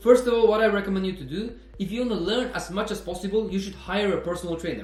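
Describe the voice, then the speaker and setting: Amid noticeable background noise and audible room echo, a man with a high pitch talks at a very fast pace with ordinary pitch variation. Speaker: personal trainer and fitness vlogger. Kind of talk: casual educational monologue. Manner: hesitant, with fillers.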